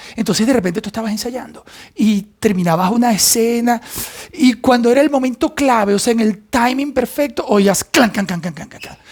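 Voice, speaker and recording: This man's voice sits extremely high in pitch. He speaks at a fairly quick pace with ordinary pitch variation. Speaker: actor. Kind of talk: casual talk to camera.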